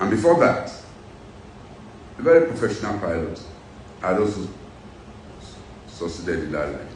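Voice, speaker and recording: Amid noticeable background noise and audible room echo, a man with a fairly low pitch talks at a moderate pace, his pitch swinging very widely. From Nigeria, Edo State (Benin). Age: 60s. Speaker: businessman and former pilot, political figure. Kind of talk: interview. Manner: animated.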